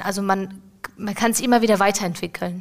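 A woman speaks at medium pitch and a moderate pace with monotone, flat intonation. Noticeable background noise is present. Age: 20s. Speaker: apprentice in dialogue marketing. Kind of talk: casual interview. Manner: halting.

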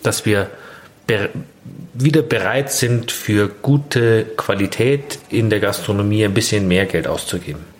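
A man's voice with ordinary pitch variation and noticeable background noise. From Bavaria, Grünwald near Munich. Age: 30s. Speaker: innkeeper. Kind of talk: casual interview. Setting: in a restaurant.

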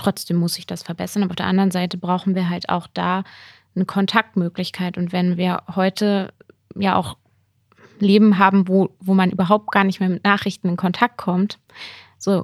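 Recorded dry and close with no echo on a very clean track with a silent background, a woman talks at a moderate pace and medium pitch, her intonation monotone and flat, with long, frequent pauses. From Lower Saxony, Germany (near Hameln). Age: 20s. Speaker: politician and teacher. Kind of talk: casual interview.

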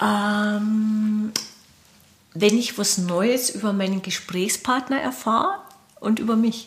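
A woman speaks very slowly, with long, frequent pauses and fairly even intonation. There is noticeable background noise. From Lower Bavaria, Bavarian Forest (Mauth). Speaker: film director. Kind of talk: interview. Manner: hesitant, many fillers.

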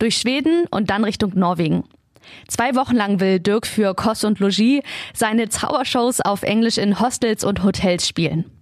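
This is an unremarkable speaking voice from a woman, fairly high in pitch, at a moderate pace. Her pitch variation is ordinary and her loudness very even. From Lower Saxony, Germany (Peine). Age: 20s. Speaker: podcast host. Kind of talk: scripted narration.

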